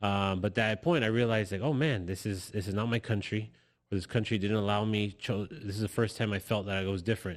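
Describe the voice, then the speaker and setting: With an American accent, a man speaks at a very fast pace and fairly low pitch with ordinary pitch variation, in a very clean recording with a silent background. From Los Angeles, California. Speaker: guest sharing immigrant story. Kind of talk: personal testimony in interview. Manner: halting, many repetitions.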